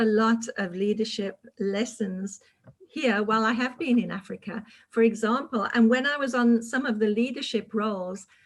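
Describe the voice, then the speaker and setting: At a moderate pace, a woman with a British accent speaks at a fairly high pitch with fairly even intonation. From United Kingdom. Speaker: public speaking club leader. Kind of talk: panel discussion.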